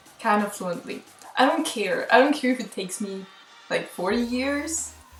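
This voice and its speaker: A woman with a fairly high pitch speaks at a moderate pace over music in the background, with audible room echo. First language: Spanish. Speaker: language learner vlogger. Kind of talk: casual vlog monologue. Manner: casual, hesitant with fillers.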